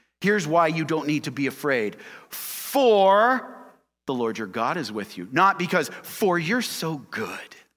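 In a very clean recording with a silent background, a man with a fairly high pitch speaks at a fairly slow pace in an animated tone, his pitch swinging very widely. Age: 40s. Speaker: pastor. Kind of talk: sermon. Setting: church.

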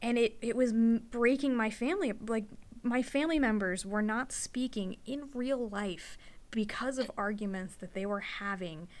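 Fairly slow speech from a woman, with ordinary variation in pitch. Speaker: podcast host, veterinary receptionist. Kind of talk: casual chat. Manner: soft-spoken, shy.

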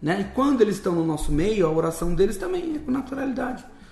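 A man at a moderate pace with very wide pitch swings, amid noticeable background noise and audible room echo. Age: 40s. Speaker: missionary. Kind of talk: interview, personal testimony. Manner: casual, colloquial.

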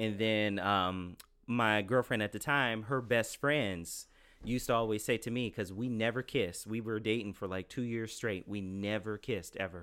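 In a very clean recording with a silent background, a man talks at a moderate pace with a fairly low pitch. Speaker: guest. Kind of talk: casual chat. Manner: loud; animated.

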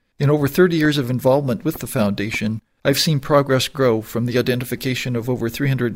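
With an American accent and a normal speaking voice, a man talks at a fairly quick pace, medium pitch and fairly even intonation on a very clean recording with a silent background. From northern Maine, US. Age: 60s. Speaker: charity volunteer with vision loss. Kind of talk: prepared personal testimony.

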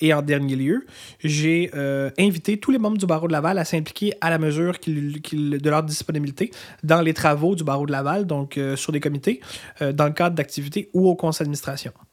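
In a very clean recording with a silent background, the voice shows ordinary pitch variation. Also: man, fairly high pitch for a man, fairly quick pace. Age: 30s. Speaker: lawyer, bar association president. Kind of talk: interview. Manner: halting, many fillers.

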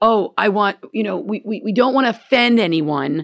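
A woman's ordinary speaking voice, lively in intonation and moderate in pace. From Gainesville, US. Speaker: comedian. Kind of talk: casual chat. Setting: studio with live audience.

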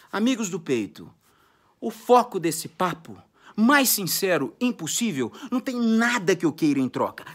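A man uses a raised, projected voice with an animated tone. His pitch swings very widely. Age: 40s. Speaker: music career coach. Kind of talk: motivational monologue.

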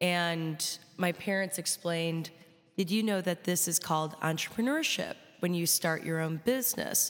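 American-accented woman with an ordinary speaking voice, lively intonation, and a moderate pace, in a very clean recording with a silent background. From Chicago. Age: 20s. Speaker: rock musician. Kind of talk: classroom talk. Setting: classroom with live audience.

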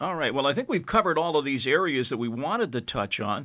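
Very fast, bright and sharp speech in a Canadian accent, on a very clean recording with a silent background. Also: man. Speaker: podcast host. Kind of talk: casual chat.

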